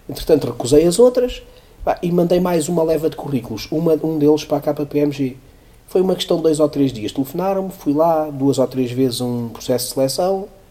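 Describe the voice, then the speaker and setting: A man speaks at a fairly quick pace with ordinary pitch variation and a fairly high pitch. Noticeable background noise runs under the recording. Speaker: economics professor and CFO. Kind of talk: interview.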